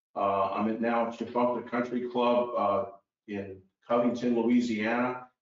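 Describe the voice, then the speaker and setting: The intonation is monotone and flat. Audible room echo is present. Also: man. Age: 60s. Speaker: golf teacher. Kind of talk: interview.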